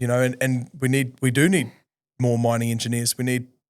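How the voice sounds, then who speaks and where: With a New Zealand accent, the voice moves at a moderate pace with fairly even intonation on a very clean recording with a silent background. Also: man. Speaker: podcast host. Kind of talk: casual chat.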